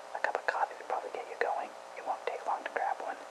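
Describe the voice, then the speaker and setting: Someone whispers at a fairly quick pace. Background noise is noticeable. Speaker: ASMR whisperer. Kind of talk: article reading. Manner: whispered.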